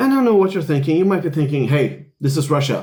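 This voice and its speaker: Somewhat breathy, a man talks at a very fast pace. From Sweden. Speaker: Zen Buddhist priest. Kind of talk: casual video commentary. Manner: conversational with fillers.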